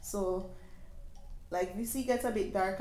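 A woman speaks at a moderate pace. Room echo is audible around her voice. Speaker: home renovation vlogger. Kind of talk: casual vlog chat. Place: shop.

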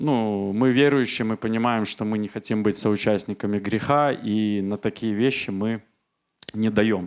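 A man with an unremarkable speaking voice talks at a fairly low pitch with fairly even intonation. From Belarus, Minsk; Belarus. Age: 40s. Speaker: church member giving testimony; speaker. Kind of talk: testimony. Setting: church service. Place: church. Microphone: handheld.

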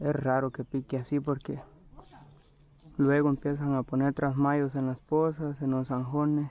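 A man's fairly slow, monotone, flat delivery in a dark, mellow tone, with dry sound and no echo. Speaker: fisherman vlogger. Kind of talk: casual vlog chat. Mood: relaxed, nostalgic. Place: waterside. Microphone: phone near.

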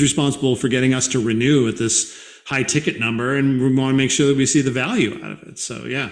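The speech comes at a very fast pace in an American accent with ordinary pitch variation. Audible room echo surrounds it. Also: man. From Boston. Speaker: podcast host. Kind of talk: interview conversation. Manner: fast talker. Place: home room.

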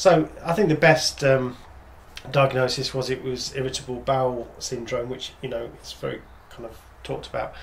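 Amid light background noise, a man speaks at a moderate pace with fairly even intonation, big swings in loudness, and long, frequent pauses. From England. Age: 50s. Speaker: father of the channel owner. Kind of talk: casual chat. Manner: halting. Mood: reflective, calm. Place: home room.

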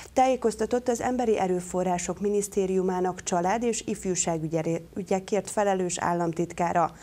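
Using an ordinary speaking voice, a woman talks at a moderate pace with medium pitch, ordinary pitch variation, very even loudness and hardly any pauses. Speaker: news anchor. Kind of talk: TV news reading. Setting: studio. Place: studio. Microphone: lapel.

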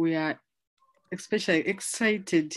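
A woman is speaking. Her pitch sits fairly low for a woman. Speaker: conference track facilitator. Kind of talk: session introduction. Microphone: video call.

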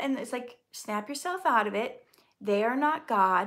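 Speaking with an American accent at a moderate pace, the voice makes very wide pitch swings against a quiet background. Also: woman. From US Midwest, Minnesota. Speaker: actor and poet, channel host. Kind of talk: live-stream Q&A. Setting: live stream video. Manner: warm, chatty. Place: home room. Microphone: phone near.

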